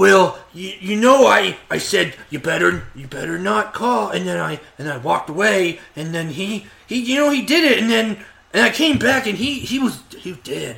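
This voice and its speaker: A man speaks at a high pitch and a fairly slow pace, his pitch swinging very widely. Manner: flustered, guilty, rambling.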